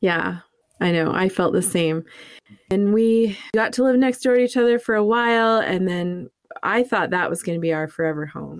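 At a moderate pace, a woman with an American accent and medium pitch speaks in a normal speaking voice. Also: ordinary pitch variation. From New England, US. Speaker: podcast host. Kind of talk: casual conversational podcast intro.

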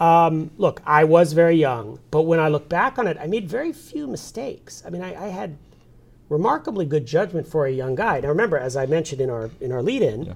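With an American accent and lively intonation, an unremarkable speaking voice talks fairly quickly. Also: man, fairly high pitch for a man. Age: 40s. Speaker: newspaper publisher. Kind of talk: interview. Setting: studio.

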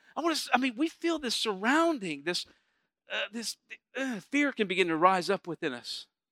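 A man's high, bright, sharp voice, raised and projected, comes at a moderate pace with very wide pitch swings and an animated, warm tone, the sound dry and close with no echo. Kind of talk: sermon to a live congregation. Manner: animated call-and-response preacher, urging the crowd to say amen; warm, conversational, stops and restarts mid-sentence.

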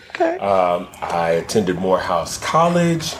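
Noticeable background noise behind a man with an American accent. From Texas, Dallas. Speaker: chef and caterer. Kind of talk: casual chat.

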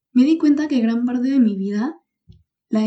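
The woman's tone is dark and mellow. She talks at a fairly quick pace. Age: 20s. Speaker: podcast host and economics student. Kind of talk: solo podcast monologue.

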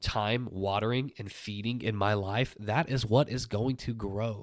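The recording is very clean with a silent background. A man in an American accent speaks at a medium pitch and fairly slow pace, with ordinary pitch variation. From Oklahoma. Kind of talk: solo devotional podcast monologue.

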